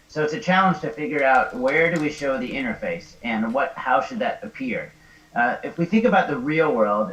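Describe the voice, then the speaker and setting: The voice moves through very wide pitch swings. Noticeable background noise and audible room echo fill the recording. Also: man. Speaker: XR designer. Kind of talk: lecture. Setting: live stream. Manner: fast.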